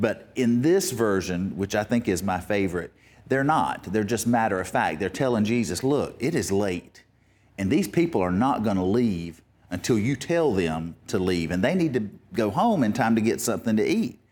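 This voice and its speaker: With an unremarkable speaking voice, a man talks at a moderate pace in a fairly low pitch, his intonation lively and his loudness very even, on a very clean recording with a silent background. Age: 50s. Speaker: pastor. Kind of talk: sermon.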